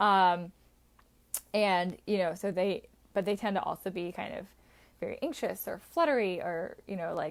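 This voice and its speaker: In a very clean recording with a silent background, a woman speaks in a plain, everyday voice at a medium pitch, a moderate pace and with fairly even intonation. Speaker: wellness coach. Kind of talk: live-streamed workshop session. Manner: casual, filler-heavy.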